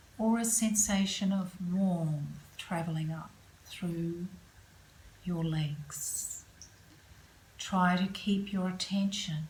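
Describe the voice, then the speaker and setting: Against noticeable background noise, a woman speaks in a fairly low pitch with fairly even intonation. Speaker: yoga nidra and meditation guide. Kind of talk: guided relaxation / yoga nidra. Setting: yoga studio. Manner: calm, slow, soothing.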